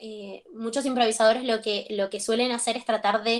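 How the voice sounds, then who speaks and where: A quiet background surrounds a woman's fairly high voice, with ordinary pitch variation. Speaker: acting teacher. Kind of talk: lecture. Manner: halting.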